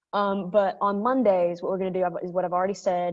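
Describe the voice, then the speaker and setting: At a fairly quick pace, a woman speaks in a medium pitch with monotone, flat intonation. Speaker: high school history teacher. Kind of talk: class orientation talk. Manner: fast; casual with many fillers.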